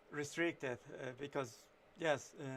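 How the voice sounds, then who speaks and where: A man with a Mexican accent speaks in a bright, sharp tone with fairly even intonation. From Mexico. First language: Spanish. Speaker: illustrator and writer streaming his painting. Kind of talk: casual live-stream commentary while drawing. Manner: halting, many fillers and false starts.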